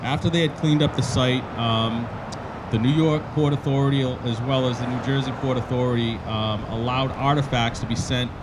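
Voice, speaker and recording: At a moderate pace, a man talks as noticeable background noise continues. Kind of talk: ceremony speech. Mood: solemn, respectful. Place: street. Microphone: handheld.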